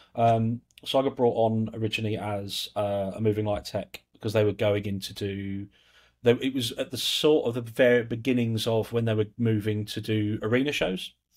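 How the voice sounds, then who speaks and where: A man speaks with a southern English accent at a moderate pace. His intonation is fairly even, and the background is quiet. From England. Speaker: lighting control systems specialist; podcast guest. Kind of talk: casual interview chat. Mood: relaxed, reflective. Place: home room. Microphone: earbuds.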